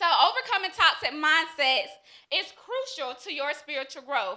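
A woman speaks at a fairly slow pace in a raised, projected voice with a high pitch. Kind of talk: reading a prepared motivational speech. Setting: live stage with audience.

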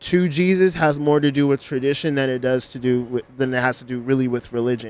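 A man with an American accent has a normal speaking voice, a fairly high pitch, ordinary pitch variation and a moderate pace. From Los Angeles. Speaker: hoodoo practitioner and astrology podcaster. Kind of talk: casual interview chat.

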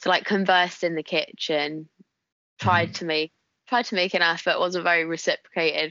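A woman's fairly low voice in a strong northern English accent, fairly quick in pace and fairly even in intonation. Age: 20s. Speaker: guest. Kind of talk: casual chat.

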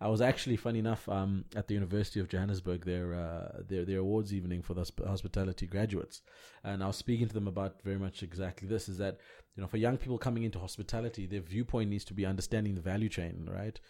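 A man races along at a very fast pace, his fairly low voice dark and mellow in tone. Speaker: podcast co-host. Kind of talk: casual chat.

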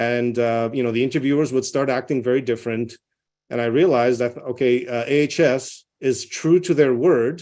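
A man's medium-pitched voice with a non-native accent, dark and mellow in tone, with fairly even intonation at a moderate pace against a quiet background. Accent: foreign. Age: 40s. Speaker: nuclear medicine physician. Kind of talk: interview. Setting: video call.

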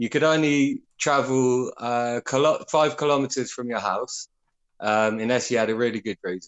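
A man speaks at medium pitch. He has an unremarkable speaking voice. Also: ordinary pitch variation, moderate pace. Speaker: caller. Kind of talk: casual chat. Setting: phone call.

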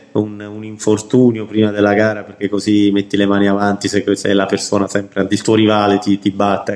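Hardly pausing at all, a man speaks at a fairly quick pace and fairly low pitch with monotone, flat intonation. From southern Italy (Basilicata, Potenza), moved around Italy. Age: 40s. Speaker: amateur marathon runner and race pacer. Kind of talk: casual interview. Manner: halting, many fillers.

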